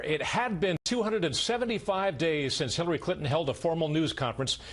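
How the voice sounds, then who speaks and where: Amid noticeable background noise, a man with a high pitch talks at a fairly quick pace, his loudness very even and his intonation lively. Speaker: TV news anchor. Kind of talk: TV news alert read.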